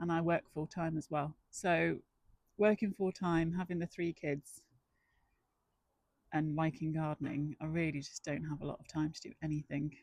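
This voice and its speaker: A woman's very deep, low voice with fairly even intonation at a moderate pace, long, frequent pauses, and a dry, close sound with no echo. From northwest England. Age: 40s. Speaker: amateur gardening vlogger. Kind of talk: casual vlog talk. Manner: casual, with many fillers.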